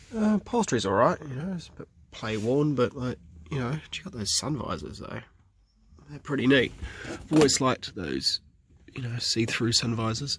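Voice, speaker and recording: A man speaks at a moderate pace and medium pitch, somewhat breathy, with a relaxed tone and lively intonation. He leaves long, frequent pauses. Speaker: classic car restorer. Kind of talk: casual talk to camera. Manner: rambling, relaxed.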